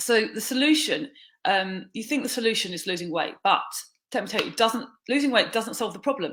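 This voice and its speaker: The speaker moves at a fairly quick pace with lively intonation. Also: woman, fairly high pitch for a woman. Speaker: weight loss coach and yoga teacher. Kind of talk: talking-head coaching talk. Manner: hesitant, many fillers and restarts.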